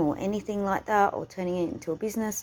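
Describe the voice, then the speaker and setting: With an Australian accent, a woman talks at a medium pitch with lively intonation and a dark, mellow tone. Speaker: vlogger. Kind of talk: casual vlog talk. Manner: halting, many fillers.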